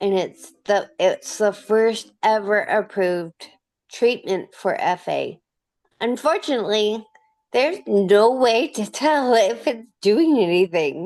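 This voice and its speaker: Speaking very slowly, a woman uses fairly high pitch and lively intonation. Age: 30s. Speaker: interviewee with rare disease. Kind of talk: interview. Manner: slurred speech.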